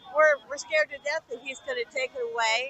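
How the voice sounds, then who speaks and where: Against noticeable background noise, a woman talks at a moderate pace with ordinary pitch variation. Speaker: protester. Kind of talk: street interview.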